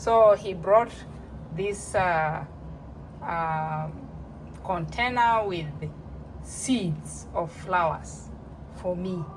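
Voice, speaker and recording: Long, frequent pauses break up a woman's very slow speech. Audible room echo surrounds her. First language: not English. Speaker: home cooking vlogger. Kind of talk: casual tutorial. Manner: halting.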